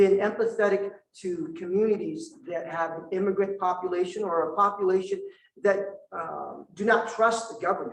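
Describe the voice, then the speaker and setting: Pitch shifts in an ordinary way while the delivery holds a moderate pace. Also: man. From Vietnam. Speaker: prosecutor, district attorney candidate. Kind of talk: candidate forum answer. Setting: indoor forum with audience.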